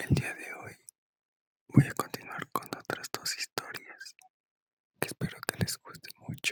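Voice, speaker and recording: The speaker whispers fairly slowly, with long, frequent pauses. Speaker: ASMR creator. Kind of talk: friendly greeting to viewers. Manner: soft-spoken.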